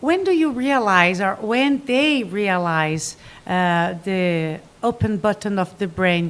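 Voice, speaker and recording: Very slow, lively female speech in a Portuguese accent, medium pitch and very even loudness. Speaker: podcast host. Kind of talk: casual chat. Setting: studio.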